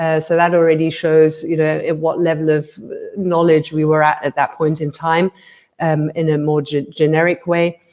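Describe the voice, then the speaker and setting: A woman speaks in a very deep, low voice at a moderate pace. Her intonation is monotone and flat. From England. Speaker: company founder, purpose consultant. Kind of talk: interview conversation. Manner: hesitant, many fillers.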